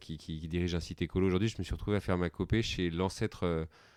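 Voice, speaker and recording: Against a quiet background, a man with a very deep, low pitch talks at a very fast pace with fairly even intonation. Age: 40s. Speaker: company founder and CEO. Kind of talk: podcast interview. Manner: hesitant, many fillers.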